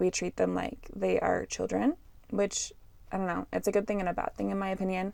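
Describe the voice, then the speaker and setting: A very clean recording with a silent background, in a Canadian accent. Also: woman. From Canada. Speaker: podcast host, English teacher. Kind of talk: educational podcast monologue. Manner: casual, chatty.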